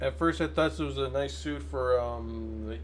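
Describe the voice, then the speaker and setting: A man mumbles in a very deep, low voice that is somewhat breathy, with ordinary pitch variation. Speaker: gaming video creator. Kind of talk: casual commentary. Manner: halting, stammering; mumbling.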